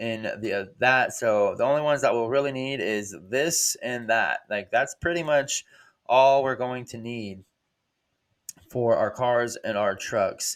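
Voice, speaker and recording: Here is a man with an unremarkable speaking voice and medium pitch. He talks at a fairly slow pace with fairly even intonation. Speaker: hobbyist game programmer. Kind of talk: coding tutorial. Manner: casual with many fillers.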